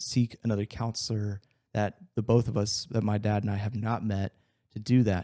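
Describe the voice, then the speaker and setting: In a very clean recording with a silent background and a dry, close sound with no echo, a man with a fairly low pitch and a dark, mellow tone speaks at a moderate pace with monotone, flat intonation. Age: 20s. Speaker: fitness coach. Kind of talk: personal testimony in podcast interview.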